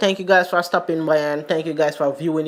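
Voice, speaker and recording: The speaker has a Jamaican accent. Noticeable background noise runs through the clip. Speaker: sports commentary YouTuber. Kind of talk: casual vlog commentary.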